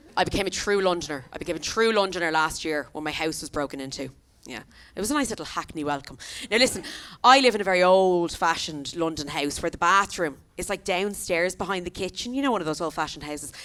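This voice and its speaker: A woman with an Irish accent, fairly low in pitch, animated in tone, with lively intonation, big swings in loudness and a very fast pace. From Ireland. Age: 30s. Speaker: comedian. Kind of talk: stand-up. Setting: stage with audience.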